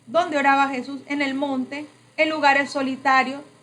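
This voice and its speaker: A woman talks at a fairly slow pace with a high pitch. Noticeable background noise and audible room echo are present. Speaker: preacher / prayer trainer. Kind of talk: sermon-style training.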